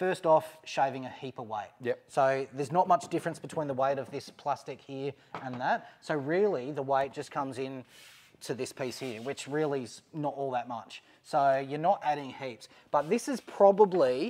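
Here a man speaks with an Australian accent at a moderate pace. His pitch variation is ordinary. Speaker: overlanding vehicle YouTuber. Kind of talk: product install video, casual chat. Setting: mechanic's workshop. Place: garage. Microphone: lapel.

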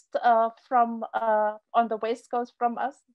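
Her pitch is high for a woman. The background is quiet. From South Africa. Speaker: professor of fisheries social science; presenter. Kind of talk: keynote lecture; conference talk. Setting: video call. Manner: halting, many fillers. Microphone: video call.

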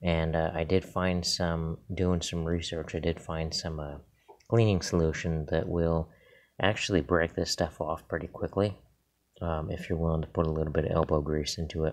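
Moderate pace and monotone, flat intonation against a quiet background. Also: man, very deep, low pitch for a man. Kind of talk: tutorial. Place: garage. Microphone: phone near.

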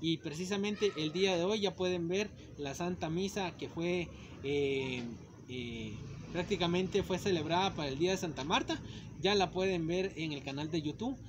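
There is noticeable background noise as a man talks at a high pitch. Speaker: channel host. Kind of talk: casual vlog chat. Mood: cheerful, joking. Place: street. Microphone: phone near.

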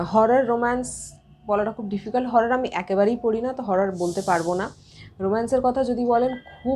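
Speaking with a dark, mellow tone, the woman has a fairly high pitch and ordinary pitch variation. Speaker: book YouTuber. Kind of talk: Q&A monologue to camera. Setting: at home.

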